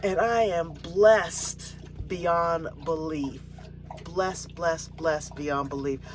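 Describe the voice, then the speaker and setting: A woman with an American accent, fairly low in pitch with ordinary variation, at a very slow pace, with audible room echo and noticeable background noise. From San Francisco, California. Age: 60s. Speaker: RV living vlogger. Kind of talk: casual vlog monologue. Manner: halting, many fillers and repeats.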